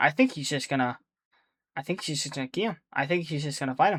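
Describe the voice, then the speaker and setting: Fairly quick delivery on a very clean recording with a silent background. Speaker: gaming YouTuber. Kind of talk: casual commentary video. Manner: fast; halting, many restarts.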